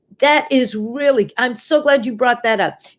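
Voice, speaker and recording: The speaker sounds animated, with lively intonation and a moderate pace. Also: woman. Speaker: dietitian hosting a live show. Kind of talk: live stream talk with viewer comments.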